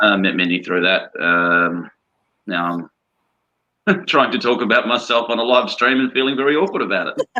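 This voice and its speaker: A man speaks at medium pitch with a slight Australian accent and very wide pitch swings. His pace is moderate. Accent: Australian, subtle. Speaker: atheist panelist. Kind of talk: panel discussion.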